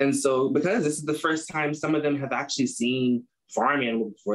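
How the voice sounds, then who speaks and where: Talking at a very fast pace with an American accent, a man uses a fairly high pitch and ordinary pitch variation. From US Midwest, Chicago. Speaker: agriculture student, club president. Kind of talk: interview. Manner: casual, many fillers.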